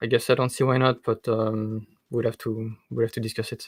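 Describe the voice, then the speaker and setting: A man with a strong French accent speaks at a moderate pace and a medium pitch. His intonation is monotone and flat in a dry, close sound with no echo. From France. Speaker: game designer. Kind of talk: interview on live stream. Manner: hesitant, many fillers.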